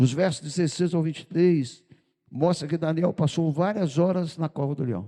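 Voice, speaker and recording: A fairly high-pitched male voice with a dark, mellow tone and ordinary pitch variation. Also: moderate pace. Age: 70s. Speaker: pastor. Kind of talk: sermon. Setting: church.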